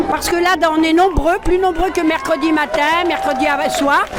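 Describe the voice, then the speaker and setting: A woman at an extremely high pitch and moderate pace, with music in the background and audible room echo. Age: 60s. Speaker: protester. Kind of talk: street interview. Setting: outdoors at a street protest.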